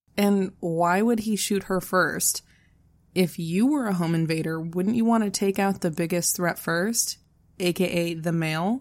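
On a very clean recording with a silent background, a woman speaks fairly slowly in a plain, everyday voice at medium pitch with ordinary pitch variation. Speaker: true crime podcast co-host. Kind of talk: casual storytelling of a true crime case.

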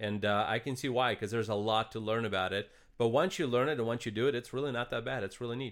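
A medium-pitched man with a slight Russian accent, very fast, with fairly even intonation. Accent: light Russian-accented English. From eastern Ukraine. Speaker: podcast co-host. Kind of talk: casual chat.

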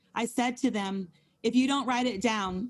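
A woman speaks at a moderate pace in a somewhat breathy voice. The background is quiet. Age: 40s. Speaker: Bible study co-leader. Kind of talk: Bible study teaching. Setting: video call. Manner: animated.

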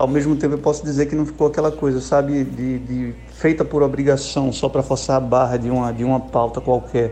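A fairly quick pace with hardly any pauses. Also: man. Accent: Pernambuco. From Pernambuco, Brazil. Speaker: rock band musician. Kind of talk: interview. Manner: casual, hesitant with repetitions.

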